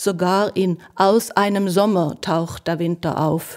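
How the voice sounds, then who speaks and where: With a Norwegian accent, a woman speaks very slowly in a fairly low pitch and fairly even intonation, on a very clean recording with a silent background. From Norway. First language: Norwegian (speaking German). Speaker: poet and translator. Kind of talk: essayistic introduction and poetry reading.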